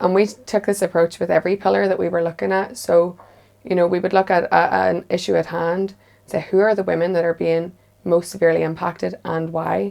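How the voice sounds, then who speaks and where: A fairly low, dark, mellow woman's voice in a Northern Irish accent, fairly quick in pace, with ordinary pitch variation. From Northern Ireland, near the border. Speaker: women's policy advocate. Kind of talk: panel discussion.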